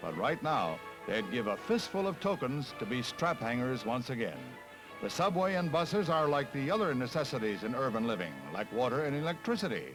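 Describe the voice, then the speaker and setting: Music plays behind a man talking at a fairly quick pace, his fairly high pitch moving in very wide swings. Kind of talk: newsreel narration. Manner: brisk, authoritative.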